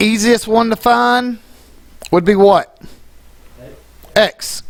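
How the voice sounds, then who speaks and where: A man speaks very slowly with lively intonation. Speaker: math teacher. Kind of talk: classroom lesson. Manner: casual, conversational; stumbles over words at times.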